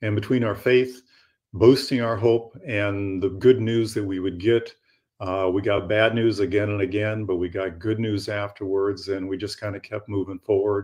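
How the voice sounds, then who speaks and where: A man with fairly low pitch speaks somewhat breathily at a moderate pace, with fairly even intonation over a quiet background. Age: 70s. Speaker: author of a memoir about his daughter's cancer. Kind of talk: radio interview. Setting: live radio studio broadcast.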